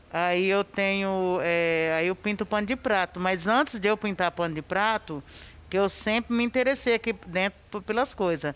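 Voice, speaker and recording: A woman's unremarkable speaking voice, moderate pace, ordinary pitch variation, very even loudness throughout. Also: medium pitch for a woman. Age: 40s. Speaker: cleaner and painter. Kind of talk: testimony.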